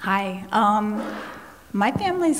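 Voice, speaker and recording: This woman's voice sits fairly high in pitch, with noticeable background noise and audible room echo in the recording. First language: Spanish. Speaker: panelist. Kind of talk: panel discussion.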